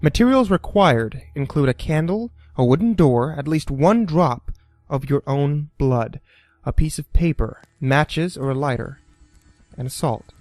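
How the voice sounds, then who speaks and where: Music plays in the background as a man talks at a fairly slow pace. His voice is fairly high in pitch, with lively intonation. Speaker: creepypasta narrator. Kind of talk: horror story narration.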